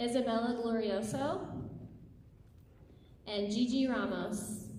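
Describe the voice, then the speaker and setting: A woman's fairly high-pitched voice at a very slow pace, with ordinary pitch variation, audible room echo and noticeable background noise. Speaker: school staff member. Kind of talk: reading names aloud at a graduation ceremony.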